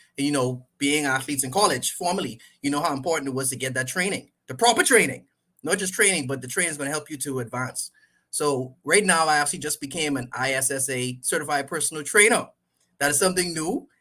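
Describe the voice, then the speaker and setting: A man with a Caribbean accent talks very fast in a fairly high, bright, sharp voice with ordinary pitch variation, recorded very cleanly against a silent background. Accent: Caribbean accent, stronger than before. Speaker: sports coach and trainer. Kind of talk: podcast interview.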